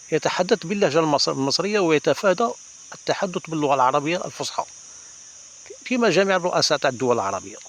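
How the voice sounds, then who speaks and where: Amid noticeable background noise, a man with a fairly high pitch speaks at a fairly quick pace, his pitch swinging very widely between long, frequent pauses. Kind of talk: casual talk to camera.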